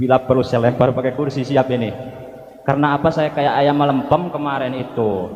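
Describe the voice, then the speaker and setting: With a West Javanese accent, a man talks at a moderate pace amid noticeable background noise and audible room echo. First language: Sundanese (speaking Indonesian). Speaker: preacher. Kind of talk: sermon.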